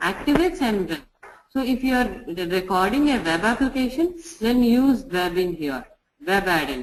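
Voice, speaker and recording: With a Telugu accent, a woman speaks at a moderate pace. Her fairly high pitch swings very widely. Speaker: software testing trainer. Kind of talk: tutorial. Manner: halting.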